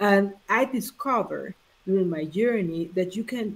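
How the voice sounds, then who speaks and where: In a Honduran accent, a woman speaks at a fairly slow pace. Her pitch is medium, with ordinary variation. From Honduras. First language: Spanish. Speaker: life coach. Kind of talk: live interview chat. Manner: halting.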